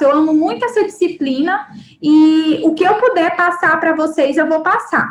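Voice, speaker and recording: At a moderate pace, a woman speaks with lively intonation and an extremely high pitch. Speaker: university lecturer. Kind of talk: live online lecture. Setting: live online class.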